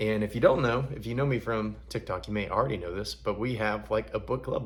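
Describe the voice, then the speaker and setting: A man at a fairly quick pace, with a slight Southern US accent. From US South, Alabama. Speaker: book reader and online content creator.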